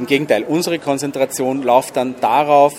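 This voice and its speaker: Fairly high-pitched male voice with fairly even intonation against noticeable background noise. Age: 40s. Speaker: event organizer. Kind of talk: interview. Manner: halting, with many fillers.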